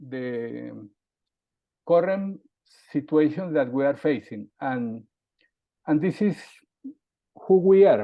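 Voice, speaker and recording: Speaking very slowly with long, frequent pauses, a man with a Colombian accent uses lively intonation at a fairly high pitch. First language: Spanish. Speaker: CEO and aerospace safety consultant. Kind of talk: interview conversation. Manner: halting.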